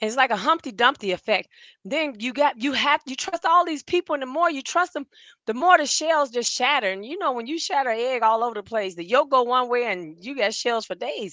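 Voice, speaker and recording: A woman with a high pitch uses a raised, projected voice, bright and sharp in tone, speaking at a fairly quick pace with lively intonation, in a dry, close sound with no echo and a quiet background. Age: 60s. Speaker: podcast co-host. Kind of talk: casual chat, personal testimony. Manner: emotional.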